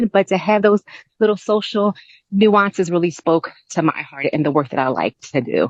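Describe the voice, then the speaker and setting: A woman at medium pitch and moderate pace with lively intonation, dry and close with no echo. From New Jersey. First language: multilingual household, English second-ish. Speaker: university center director. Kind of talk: interview.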